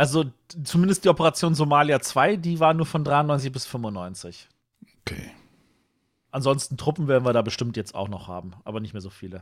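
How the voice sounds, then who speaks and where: At a moderate pace, a man speaks with a fairly high pitch, very wide pitch swings, big swings in loudness, and long, frequent pauses. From West Berlin. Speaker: podcast co-host. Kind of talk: casual chat.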